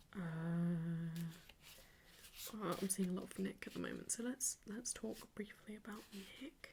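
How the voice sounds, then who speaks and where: Someone soft-spoken talks at a fairly slow pace. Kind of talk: ASMR soft-spoken ramble.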